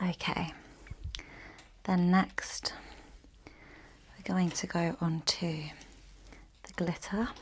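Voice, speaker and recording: Whispering in an English accent, a woman goes very slowly with long, frequent pauses. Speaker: ASMR creator. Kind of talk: ASMR makeup tutorial. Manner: soft-spoken.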